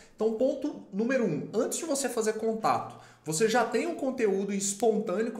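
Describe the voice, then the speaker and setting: A man speaks at a moderate pace in a high pitch. Audible room echo and noticeable background noise fill the recording. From Brazil, Minas Gerais. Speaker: lawyer and legal marketing YouTuber. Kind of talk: tutorial with sponsored product demo. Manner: casual, conversational with filler words.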